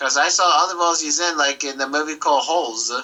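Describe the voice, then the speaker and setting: A man with a fairly high pitch speaks at a fairly quick pace while noticeable background noise carries on behind him. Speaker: podcast co-host. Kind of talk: reading aloud; casual chat. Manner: fast.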